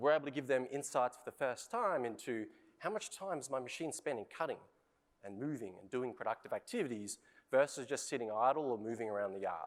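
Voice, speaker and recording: With an Australian accent, the speaker moves at a fairly quick pace, using lively intonation and big swings in loudness. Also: man, medium pitch for a man. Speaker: industry innovation lead. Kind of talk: conference presentation.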